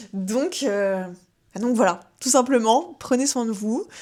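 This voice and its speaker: Here a woman talks at a very slow pace. Her pitch is fairly high. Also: very clean recording, silent background. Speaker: wellness podcast host. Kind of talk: casual advice podcast. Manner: hesitant, many fillers.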